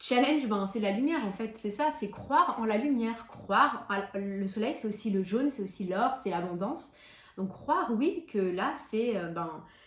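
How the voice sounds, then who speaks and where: Lively intonation from a woman at a fairly slow pace, with audible room echo and noticeable background noise. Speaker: tarot card reader. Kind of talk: monthly tarot reading to camera. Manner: hesitant, many fillers.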